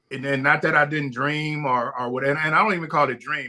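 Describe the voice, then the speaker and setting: This man's tone is animated, and he talks at a fairly quick pace. His pitch is fairly high, with ordinary pitch variation. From Compton, Los Angeles, US. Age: 60s. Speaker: barbecue pitmaster and restaurateur. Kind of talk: podcast interview. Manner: animated storytelling with frequent repetitions.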